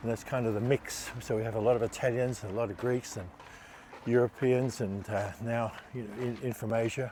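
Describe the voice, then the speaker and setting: With an Australian accent, a man talks at a fairly quick pace. His medium-pitched voice stays monotone and flat in intonation. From Australia, Melbourne. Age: 70s. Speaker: Olympic sailor. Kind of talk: interview.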